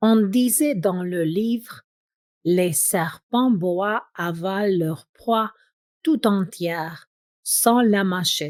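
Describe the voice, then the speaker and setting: A woman speaks at a very slow pace and medium pitch with lively intonation. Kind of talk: audiobook reading. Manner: slow, clear.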